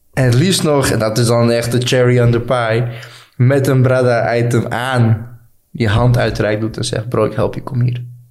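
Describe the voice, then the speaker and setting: Audible room echo around a man at medium pitch, with fairly even intonation and a moderate pace. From Netherlands (Friesland), fled Balkans at six. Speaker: brand founder sharing refugee story. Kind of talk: casual interview.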